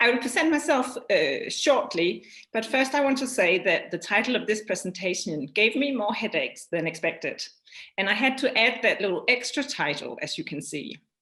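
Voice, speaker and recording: A woman speaks at a moderate pace with a high pitch and very wide pitch swings. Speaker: anthropologist. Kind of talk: academic presentation. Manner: reading from manuscript.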